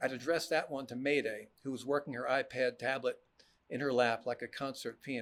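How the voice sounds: Fairly even intonation in a natural reading voice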